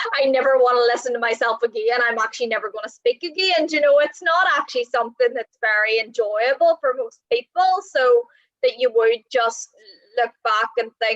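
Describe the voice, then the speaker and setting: At a moderate pace, a woman with a Northern Irish accent speaks at a high pitch, the sound dry and close with no echo. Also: ordinary pitch variation. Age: 20s. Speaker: online show host. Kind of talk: interview.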